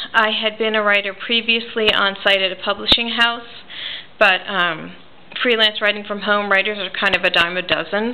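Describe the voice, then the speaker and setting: A woman's medium-pitched voice with an American accent, monotone and flat in intonation, at a moderate pace over noticeable background noise. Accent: New Jersey accent, noticeable to locals. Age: 40s. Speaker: reborn doll artist and writer. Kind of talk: casual personal vlog. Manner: casual, with frequent fillers.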